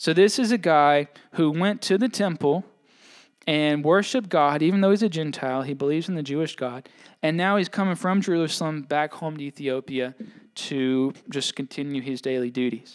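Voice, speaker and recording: Speaking in a Southern US accent, a man with a fairly high pitch keeps a moderate pace. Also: ordinary pitch variation. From Mississippi. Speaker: pastor. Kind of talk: sermon. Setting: church.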